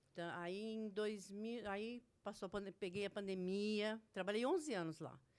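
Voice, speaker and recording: Very slowly, a woman speaks at a medium pitch with fairly even intonation. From Brazil, Santo André (São Paulo area). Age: 60s. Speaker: retail worker, former shop owner. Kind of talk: casual interview, life story.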